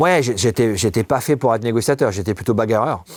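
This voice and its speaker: This man talks at a fairly quick pace and medium pitch. The recording is very clean with a silent background, dry and close with no echo. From southwestern France. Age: 50s. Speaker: negotiation expert, former police negotiator. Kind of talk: interview. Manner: fast.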